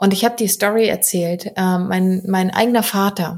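A woman speaks at a moderate pace with a medium pitch and a somewhat breathy voice. Her intonation stays fairly even. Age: 30s. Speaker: podcast host and coach. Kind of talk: solo podcast monologue.

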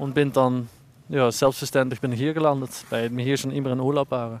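In a Dutch accent, a man talks at a medium pitch with ordinary pitch variation. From Netherlands. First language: Dutch (speaking German). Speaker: ski instructor. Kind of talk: interview.

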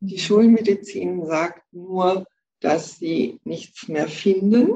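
This woman has a medium pitch, lively intonation and a dark, mellow tone that is somewhat breathy. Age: 60s. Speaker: breast cancer survivor, energy healer. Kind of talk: interview, personal testimony. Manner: hesitant, many fillers.

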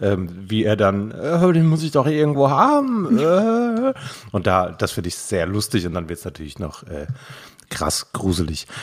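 A man's fairly low voice with very wide pitch swings at a fairly slow pace. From Frankfurt, Germany. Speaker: podcast host, poetry slammer. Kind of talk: casual chat. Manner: animated.

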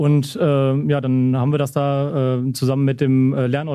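A man speaks with a dark, mellow tone. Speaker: trainee vocational teacher and youth coach. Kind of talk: interview. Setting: football stadium after a match. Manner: halting, many fillers.

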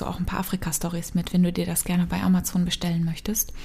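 At a fairly quick pace, a woman of medium pitch speaks with a dark, mellow tone and a somewhat breathy voice. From East Africa (Kenya, Congo), German-speaking family. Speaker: mind and business coach. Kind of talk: personal storytelling monologue.

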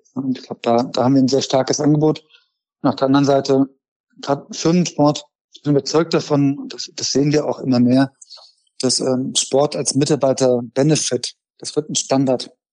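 A man speaks in a fairly high pitch with a dark, mellow tone and fairly even intonation. Long, frequent pauses break up the dry, close sound with no echo. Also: moderate pace. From Germany, Frankfurt. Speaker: startup founder and CEO. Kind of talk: interview.

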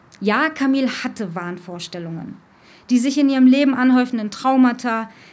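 A woman speaks at a moderate pace in a high pitch, with audible room echo. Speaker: cultural coordinator and radio presenter. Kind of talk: live talk before an audience. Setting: stage with audience. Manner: emotional, voice drops.

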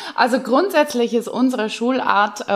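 With a normal speaking voice, a woman talks at a moderate pace with ordinary pitch variation. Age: 40s. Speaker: secondary school teacher. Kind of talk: casual interview.

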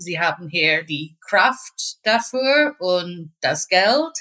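A woman speaks with an English accent in a bright, sharp tone. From Northern Ireland. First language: English (speaking German). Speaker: pharmacy technician. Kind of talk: interview. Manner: halting.

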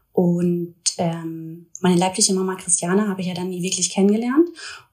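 A woman's voice runs at a fairly quick pace, somewhat breathy, with a dark, mellow tone. The intonation stays monotone and flat. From Ruhr area, Germany (Duisburg). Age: 20s. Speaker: influencer. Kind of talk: personal testimony in interview.

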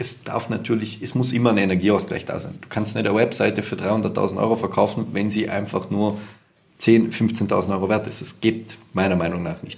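A man with an unremarkable speaking voice, fairly low pitch and fairly even intonation. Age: 20s. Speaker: entrepreneur and sales consultant. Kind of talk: interview. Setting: office.

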